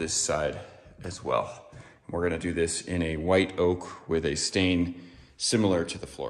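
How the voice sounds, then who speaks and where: Very deep and low, a man's voice holds a monotone, flat intonation at a moderate pace. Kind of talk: tutorial. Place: home room. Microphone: phone near.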